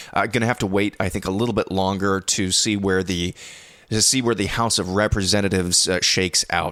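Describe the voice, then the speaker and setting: A quiet man's fairly low, monotone voice at a fairly quick pace, with very even loudness. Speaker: news podcast host. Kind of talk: news commentary. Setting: home recording at night. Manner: hushed, quiet.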